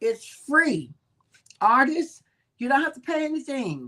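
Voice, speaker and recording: Bright and sharp, the woman's voice carries. Her tone is also warm and animated. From New Orleans, Louisiana. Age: 70s. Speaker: evangelist and book reading show host. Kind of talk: casual announcements. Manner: warm, animated.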